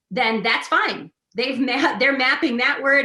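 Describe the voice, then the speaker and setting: A woman with a Midwestern accent speaks at a fairly slow pace. Her tone is bright and sharp. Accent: Midwestern, nasalized vowels. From US Midwest. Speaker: literacy researcher. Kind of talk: webinar talk.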